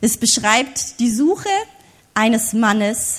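Lively intonation marks this woman's speech. Her voice is fairly high. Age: 30s. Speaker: preacher. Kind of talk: sermon.

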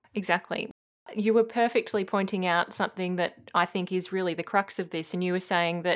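A woman with an Australian accent talks at a fairly quick pace in a medium pitch, her intonation monotone and flat, on a very clean recording with a silent background. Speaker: community radio host. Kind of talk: interview. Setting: studio.

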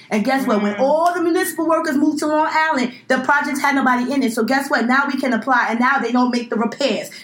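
A woman with an American accent talks at a very fast pace with hardly any pauses. Her high pitch shows ordinary variation over noticeable background noise. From Brooklyn, New York. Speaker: podcast co-host, law student. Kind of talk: casual chat. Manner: animated.

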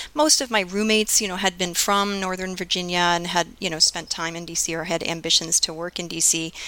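Using an ordinary speaking voice, a woman talks at a fairly quick pace with hardly any pauses, a fairly low pitch and fairly even intonation. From US, Florida (Fort Lauderdale area). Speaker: economics professor. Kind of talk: interview.

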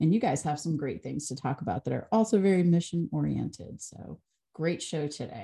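Fairly quick and lively in intonation, a woman speaks with a very deep, low pitch, a dark, mellow tone and vocal fry. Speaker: co-host, communications director. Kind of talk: podcast hosting, interviewer. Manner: warm, upbeat.

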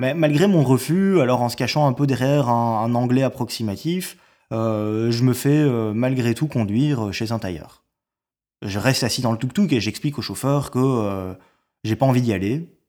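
A man talks at a fairly slow pace with a medium pitch, ordinary pitch variation, and a dark, mellow tone. The recording is very clean, with a silent background. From Belgium. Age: 30s. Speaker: storyteller. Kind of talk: personal narrative. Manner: hesitant, many fillers.

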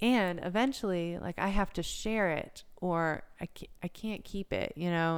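An ordinary speaking voice from a woman with an American accent, fairly low in pitch, with fairly even intonation. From US South, South Carolina coast. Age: 30s. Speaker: yoga instructor. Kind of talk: interview conversation. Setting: recording in Myrtle Beach, South Carolina.

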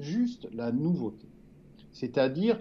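A man speaks at a very slow pace. His voice is fairly high. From France, Gironde near Bordeaux. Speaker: journalist and writer. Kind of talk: interview. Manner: halting, many repetitions.

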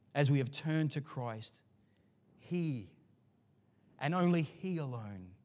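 With a fairly high pitch and ordinary pitch variation, a man speaks at a fairly slow pace. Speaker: pastor. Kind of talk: sermon. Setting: church. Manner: animated, varies pitch and volume; loud.

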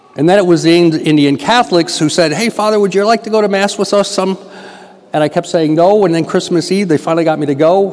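Over noticeable background noise, a man with an American accent talks at a very fast pace in a high pitch, with ordinary pitch variation and very even loudness. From Western New York. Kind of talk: mission appeal talk in church.

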